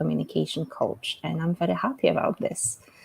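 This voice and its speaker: A woman speaks in a Polish accent, the sound dry and close with no echo. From Poland. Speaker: English communication coach. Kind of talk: self-introduction in live webinar. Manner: halting, many fillers.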